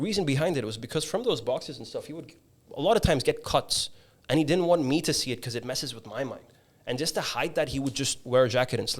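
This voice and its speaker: Somewhat breathy, a man talks at a very fast pace with lively intonation. The recording is very clean, the background silent. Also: fairly high pitch for a man. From Dubai. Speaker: podcast host. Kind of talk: casual chat. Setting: studio.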